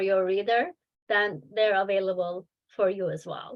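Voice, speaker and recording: A woman speaks with a non-native accent. Her pitch is medium. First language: not English. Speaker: children's book author and publisher. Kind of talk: webinar talk with Q&A. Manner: hesitant, many fillers.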